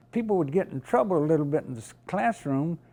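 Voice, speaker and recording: He speaks with a Southern US accent and lively intonation. The man's tone is dark and mellow. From US South, rural North Carolina. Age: 90s. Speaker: museum volunteer, Navy veteran. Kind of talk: interview.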